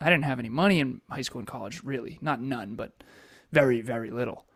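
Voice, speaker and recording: In a very clean recording with a silent background, a man speaks with an American accent at a very fast pace. His pitch is medium, with ordinary pitch variation. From Massachusetts. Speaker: entrepreneur and coach. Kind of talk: interview life story.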